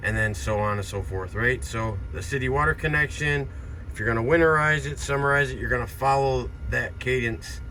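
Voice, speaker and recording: Audible room echo surrounds the speaker. He is a man whose pitch swings very widely. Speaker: RV salesman. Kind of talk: product walkthrough. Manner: fast.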